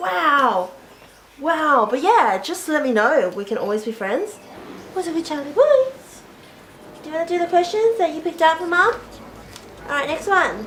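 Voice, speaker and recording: With an Australian accent and an extremely high pitch, a woman speaks at a moderate pace, her pitch swinging very widely, with long, frequent pauses amid noticeable background noise. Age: 20s. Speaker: YouTuber. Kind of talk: casual Q&A video.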